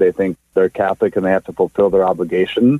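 This man talks at a very fast pace, his fairly low voice showing ordinary pitch variation. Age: 40s. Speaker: caller. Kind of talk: call-in radio conversation.

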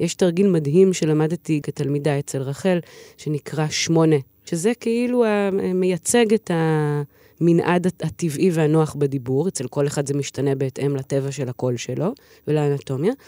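The recording is very clean and the background silent. The speech moves at a fairly slow pace. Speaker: singer and voice teacher. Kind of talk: interview. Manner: animated.

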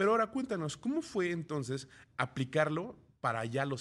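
A man's bright, sharp voice with very wide pitch swings at a fairly quick pace. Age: 30s. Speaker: radio business news host. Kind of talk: radio news and interview.

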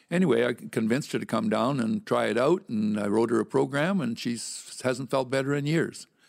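On a very clean recording with a silent background, a man speaks at a moderate pace and medium pitch with vocal fry and ordinary pitch variation. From Saskatchewan, Canada. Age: 80s+. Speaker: masters weightlifter and coach. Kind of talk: interview.

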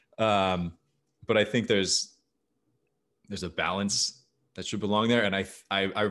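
The background stays quiet. A man talks with an American accent. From Arizona. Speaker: writer and podcaster. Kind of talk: casual chat.

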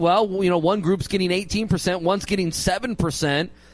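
Fairly even in intonation, a man speaks in a high pitch. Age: 30s. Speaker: sports radio host. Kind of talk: casual chat.

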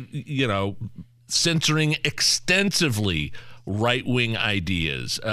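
A man with an American accent speaks at a medium pitch, his tone bright and sharp and his intonation lively. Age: 40s. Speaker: radio host. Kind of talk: casual chat.

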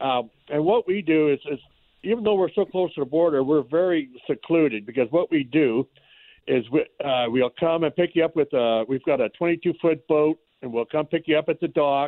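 A man's unremarkable speaking voice at a moderate pace, pitched fairly high with ordinary variation. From Canada. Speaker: fishing lodge owner. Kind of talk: phone interview.

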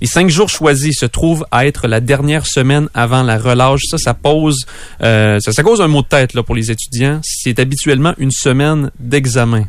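A man with an unremarkable speaking voice, medium pitch, ordinary pitch variation, a moderate pace and very even loudness. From Quebec, Bellechasse region. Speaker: news reporter. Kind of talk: news review. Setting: radio studio.

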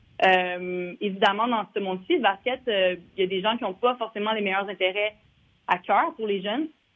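A normal speaking voice from a woman, medium in pitch, at a moderate pace with ordinary pitch variation. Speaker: former basketball player, league staffer. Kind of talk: interview.

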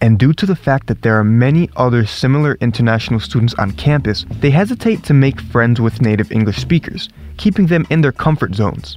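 A man with an American accent, medium pitch, very wide pitch swings, a fairly quick pace, hardly any pauses and very even loudness, over noticeable background noise. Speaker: podcast host, international student. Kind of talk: scripted narration.

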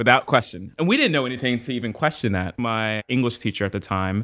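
An unremarkable speaking voice from a man with an American accent, medium pitch, ordinary pitch variation and a fairly quick pace, over a quiet background. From US Northeast, Trenton, New Jersey. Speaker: journalist. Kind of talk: casual chat.

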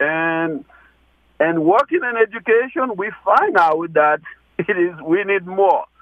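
Lively in intonation, a man with a high pitch talks at a fairly slow pace. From Haiti (Gonaives). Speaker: deacon and charity founder. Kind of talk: radio interview.

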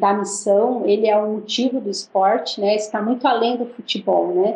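A woman talks in a normal speaking voice, fairly high in pitch. Her intonation is fairly even and her pace moderate. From Brazil. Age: 40s. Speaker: missionary and former footballer. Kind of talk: interview.

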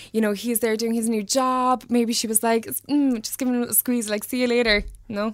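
A woman speaks in a Cork accent. Her fairly high pitch stays monotone and flat. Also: fairly quick pace. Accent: Cork Irish. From Ireland, Mallow, County Cork. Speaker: fashion stylist and interior designer. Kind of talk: casual chat.

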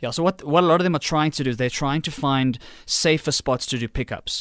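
A man's unremarkable speaking voice at a fairly quick pace, ordinary pitch variation, very clean recording with a silent background, dry and close with no echo. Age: young. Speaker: technology specialist. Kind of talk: radio interview. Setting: studio.

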